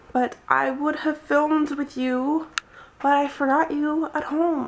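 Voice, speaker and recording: A woman speaking amid noticeable background noise. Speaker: vlogger. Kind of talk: casual vlog. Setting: outdoors in the shade. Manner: hesitant, many fillers.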